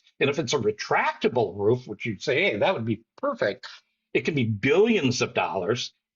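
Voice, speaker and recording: Somewhat breathy, a man's voice sits at a fairly high pitch and moves at a moderate pace. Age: 60s. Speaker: soccer fan and commentator. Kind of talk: casual chat.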